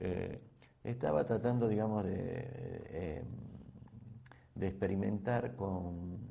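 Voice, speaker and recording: A man with a fairly low pitch and a dark, mellow tone speaks with vocal fry and ordinary pitch variation. Room echo is audible. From Argentina, Santa Fe province (San Jorge). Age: 60s. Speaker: biochemist and agribusiness entrepreneur. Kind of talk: invited talk. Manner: hesitant, many fillers and repetitions.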